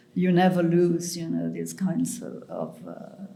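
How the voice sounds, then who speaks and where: Audible room echo surrounds a woman speaking at a very slow pace and a medium pitch. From Mauritius. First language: French and Mauritian Creole. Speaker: writer. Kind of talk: interview conversation. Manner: halting.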